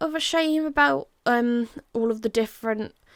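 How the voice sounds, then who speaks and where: Lively intonation marks a woman's fairly high voice with an English accent. The recording is very clean, with a silent background. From England. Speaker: Minecraft content creator. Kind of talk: casual gameplay commentary. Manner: casual, rambling.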